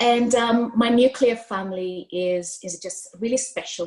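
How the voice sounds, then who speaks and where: With an East African accent, a woman speaks at a moderate pace. Her voice is somewhat breathy. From Kenya, Mombasa. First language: Swahili. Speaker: diversity and inclusion consultant. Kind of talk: storytelling interview.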